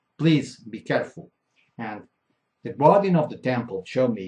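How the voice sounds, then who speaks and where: Lively intonation with a Portuguese accent. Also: man. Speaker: keynote speaker. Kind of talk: conference keynote. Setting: conference hall with audience. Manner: halting, self-correcting.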